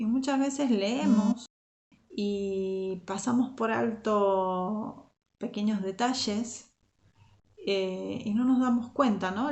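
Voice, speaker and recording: The speaker has an Argentine accent and a very slow pace. Pitch varies in an ordinary way. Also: woman. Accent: Argentine, largely kept. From Argentina (Zárate, Buenos Aires). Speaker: youth Bible teacher. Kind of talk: Bible study talk.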